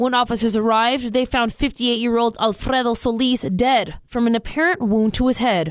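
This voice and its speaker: A woman with a plain, everyday voice speaks at a fairly quick pace with hardly any pauses. Her pitch is fairly high, with ordinary variation and very even loudness. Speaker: radio news anchor. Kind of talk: radio newscast delivery.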